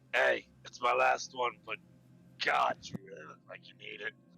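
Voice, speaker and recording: A man in a put-on character voice at a moderate pace. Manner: slurred, gruff.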